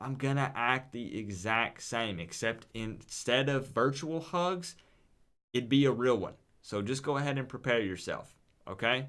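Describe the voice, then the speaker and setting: A man's medium-pitched voice with a Southern US accent, a fairly slow pace and ordinary pitch variation. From US South, East Tennessee. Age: 20s. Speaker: gaming streamer. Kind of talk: live stream chat. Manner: animated.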